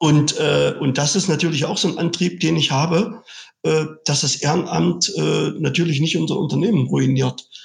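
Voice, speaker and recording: A man talks at a moderate pace, his loudness staying very even throughout. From eastern Germany (Saxony-Anhalt, Sangerhausen). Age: 50s. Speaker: car dealership owner and trade association executive. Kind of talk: interview.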